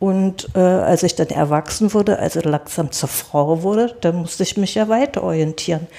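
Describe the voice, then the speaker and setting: Her voice has a dark, mellow tone and a fairly low pitch, and the woman keeps a moderate pace, ordinary pitch variation and very even loudness. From East Germany, rural village. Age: 70s. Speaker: interview guest. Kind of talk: casual interview. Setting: studio.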